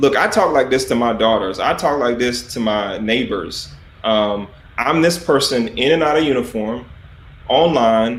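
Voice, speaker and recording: Spoken in a Southern US accent at a fairly slow pace, the voice has ordinary pitch variation and audible room echo. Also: man. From US South, South Carolina. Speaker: army officer. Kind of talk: interview. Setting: livestream.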